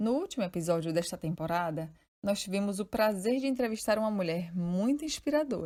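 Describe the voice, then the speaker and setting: A woman's dark, mellow tone with lively intonation. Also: medium pitch for a woman, fairly quick pace. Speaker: podcast host. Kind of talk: podcast narration.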